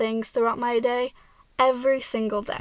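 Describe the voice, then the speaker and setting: A woman's high-pitched voice at a fairly quick pace. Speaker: college student. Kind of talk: class speech. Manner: stutters when anxious.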